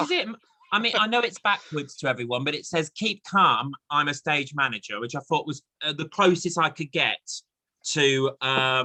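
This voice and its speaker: Bright and sharp in tone, a man's fairly high voice carries lively intonation at a moderate pace, with a dry, close sound and no echo. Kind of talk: casual interview host talk.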